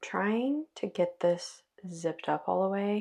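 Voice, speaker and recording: Everything behind the speaker is quiet. A woman delivers her words very slowly. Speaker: sewing vlogger. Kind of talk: casual vlog.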